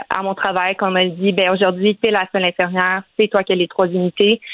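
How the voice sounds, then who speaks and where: A woman speaks at a moderate pace in a Quebec accent. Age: 20s. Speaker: nurse. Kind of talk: interview.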